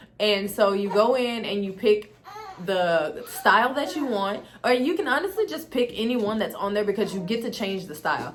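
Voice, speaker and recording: Noticeable background noise sits behind the voice. A woman talks at a fairly high pitch. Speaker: beauty and tech YouTuber. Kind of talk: tutorial. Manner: fast; casual, chatty.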